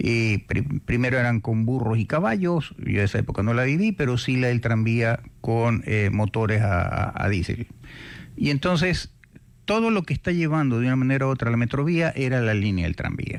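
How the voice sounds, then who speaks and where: An unremarkable speaking voice from a man at medium pitch, with lively intonation and very even loudness. He keeps a moderate pace. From Ecuador, Guayaquil. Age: 60s. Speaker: radio host. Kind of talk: radio interview.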